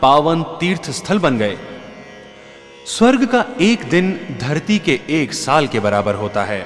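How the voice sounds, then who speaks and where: Over music in the background, a man speaks at a fairly high pitch with very wide pitch swings. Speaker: religious storyteller. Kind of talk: scripted narration. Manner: formal.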